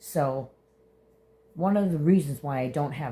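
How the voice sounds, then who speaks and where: This woman's voice is pitched very deep and low. It comes out somewhat breathy. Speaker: vlogger. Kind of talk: casual vlog monologue. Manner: halting, many fillers.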